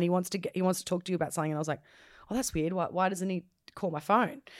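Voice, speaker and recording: This is a very clean recording with a silent background. A woman speaks with an Australian accent and ordinary pitch variation. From Australia, Gold Coast. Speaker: DJ. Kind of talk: casual chat. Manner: loud.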